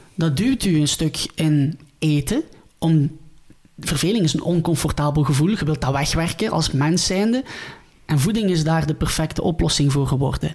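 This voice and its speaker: Here a man with a Ghent accent talks at a moderate pace in a fairly high voice. His loudness stays very even while his pitch varies in an ordinary way. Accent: Flemish, Ghent dialect. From Belgium, Ghent. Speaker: dietitian, former pro footballer. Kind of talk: podcast interview.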